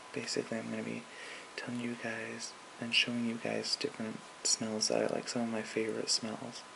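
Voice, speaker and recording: At a moderate pace, a man talks in a relaxed tone over noticeable background noise. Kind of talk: ASMR soft-spoken talk to camera. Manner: soft-spoken, relaxed, casual.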